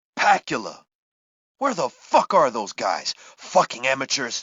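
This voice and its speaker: Moderate pacing from a man putting on a character voice. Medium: video game. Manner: crude, gruff.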